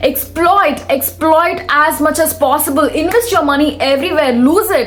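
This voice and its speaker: In a Telugu accent, a woman with a high pitch speaks at a moderate pace in an animated tone with ordinary pitch variation and very even loudness, over music in the background with audible room echo. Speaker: self-help vlogger. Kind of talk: motivational talk.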